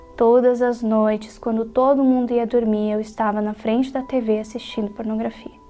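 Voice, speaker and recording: Over noticeable background noise, a woman with a fairly high voice speaks at a moderate pace in a flat monotone. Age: 20s. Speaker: church member. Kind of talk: testimony.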